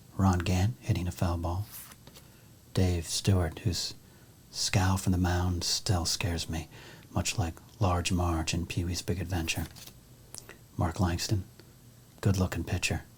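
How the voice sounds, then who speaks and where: A soft-spoken man's very deep, low voice, somewhat breathy, with a calm tone and monotone, flat intonation. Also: long, frequent pauses. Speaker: ASMR creator and sports card collector. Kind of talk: soft-spoken ASMR talk to camera. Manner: soft-spoken, calm.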